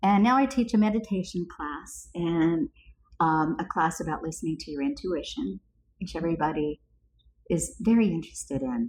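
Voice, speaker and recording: A woman's somewhat breathy, fairly low voice in an American accent, at a moderate pace and with very wide pitch swings. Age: 70s. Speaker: podcast co-host, healer and coach. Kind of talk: casual chat.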